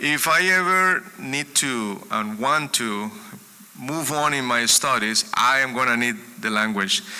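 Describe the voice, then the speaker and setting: With a Spanish accent, a man at medium pitch speaks at a fairly slow pace using lively intonation. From Colombia. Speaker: music educator and speaker. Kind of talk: sermon-style talk. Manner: halting, with repetitions.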